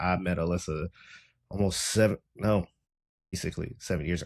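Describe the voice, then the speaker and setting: A man with a Southern US accent is captured in a very clean recording with a silent background. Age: 20s. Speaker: podcast host. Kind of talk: casual interview.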